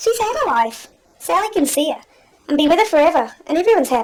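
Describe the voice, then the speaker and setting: An extremely high, squeaky, female-sounding put-on character voice at a very fast pace. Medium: stage play. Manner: cheery, breezy.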